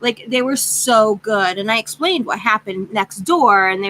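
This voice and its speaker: Loud and animated, a woman speaks at medium pitch with a bright, sharp tone. Her intonation is lively and her pace moderate. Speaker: craft channel vlogger. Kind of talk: casual chat.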